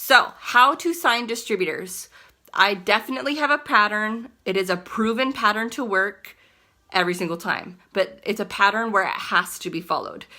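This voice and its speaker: A woman with a fairly high pitch speaks at a moderate pace in a bright, sharp, animated tone. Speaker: network marketing distributor. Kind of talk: casual tutorial vlog.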